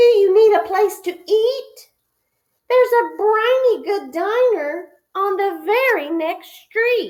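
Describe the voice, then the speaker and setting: A woman does a put-on character voice at an extremely high pitch. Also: fairly slow pace. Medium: read story. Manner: helpful.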